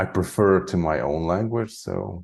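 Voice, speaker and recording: A man speaks with a Hungarian accent in a dark, mellow tone. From Hungary (Transylvania). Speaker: spiritual channeler. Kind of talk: interview conversation. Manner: casual, many filler likes.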